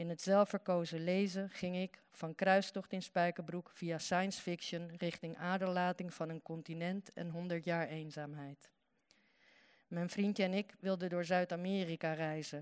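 The voice is monotone, with flat intonation and a fairly slow pace. The background is quiet. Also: woman. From Netherlands, Uruguayan family. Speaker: writer. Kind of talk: reading aloud.

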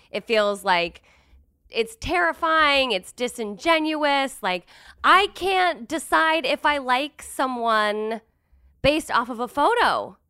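On a very clean recording with a silent background, a woman with a high pitch uses a raised, projected voice and a bright, sharp tone, moving at a very slow pace through very wide pitch swings. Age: 30s. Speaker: comedian. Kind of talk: casual chat.

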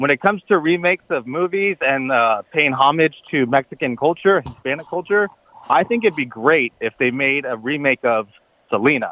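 A man with an American accent and an ordinary speaking voice, fairly high in pitch, with lively intonation. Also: moderate pace. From Southern California, Orange County. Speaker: sports radio caller. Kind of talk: call-in sports talk. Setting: phone call.

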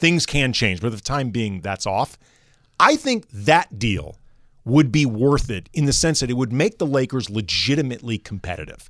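A man's normal speaking voice, medium-pitched with an American accent, at a moderate pace with lively intonation on a very clean recording with a silent background. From US Midwest, St. Louis. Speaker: sports radio co-host. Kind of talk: sports talk radio chat.

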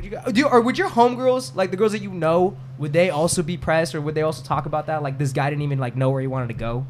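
Lively intonation runs through speech at a very fast pace, with noticeable background noise. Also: man, fairly high pitch for a man. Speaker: podcast host. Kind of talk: casual group chat, debate. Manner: animated, profane.

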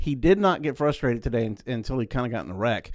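In a Southeast Texas accent, a man at medium pitch talks at a fairly quick pace with ordinary pitch variation, recorded very cleanly against a silent background. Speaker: motorsports journalist. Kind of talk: casual chat.

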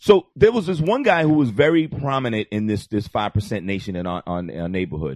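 With an American accent, a man talks at a fairly quick pace in a fairly low pitch, his pitch swinging very widely, with hardly any pauses, in a dry, close recording with no echo and a quiet background. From New York. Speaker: comedy podcast guest. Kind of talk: casual chat. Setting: studio with live internet audience.

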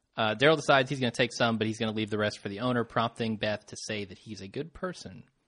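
A man speaks at a very fast pace with a fairly low pitch. The background is quiet. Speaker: podcast host. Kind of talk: casual chat.

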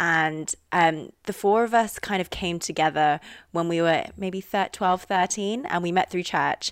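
Speaking slowly with fairly even intonation, a woman with an RP accent has a fairly low pitch, captured with a dry, close sound and no echo. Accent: Received Pronunciation British English. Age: 20s. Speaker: university student. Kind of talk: casual chat.

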